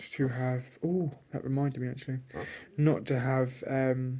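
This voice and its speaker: A man speaks at a fairly slow pace. His pitch sits in the medium range. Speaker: vlogger. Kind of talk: personal vlog monologue.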